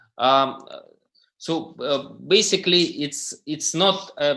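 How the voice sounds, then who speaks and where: Here a man speaks in a bright, sharp tone with a non-native accent. His pitch varies in an ordinary way. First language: not English. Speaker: crypto startup founder. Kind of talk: panel presentation. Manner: halting, many fillers.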